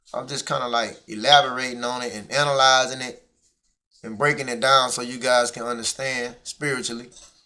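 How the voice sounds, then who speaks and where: A man with a bright, sharp tone and medium pitch speaks in monotone, flat intonation with big swings in loudness. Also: fairly quick pace. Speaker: Bible teacher. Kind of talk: Bible lesson. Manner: casual.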